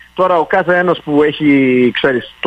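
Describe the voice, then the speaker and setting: This man's fairly slow speech carries ordinary pitch variation. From Montreal, Park Extension. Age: 50s. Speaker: city councillor. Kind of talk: radio interview. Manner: halting.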